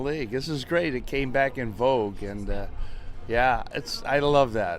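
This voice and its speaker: Over background music, a man talks with a medium-pitched voice. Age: 70s. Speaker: former baseball pitcher. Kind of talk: interview answer. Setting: outdoors.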